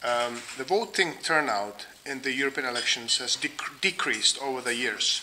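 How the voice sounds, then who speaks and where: At a moderate pace with hardly any pauses, a man speaks at a medium pitch with a Czech accent and ordinary pitch variation, against noticeable background noise. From Czech Republic. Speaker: think tank researcher. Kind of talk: lecture. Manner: halting, many fillers.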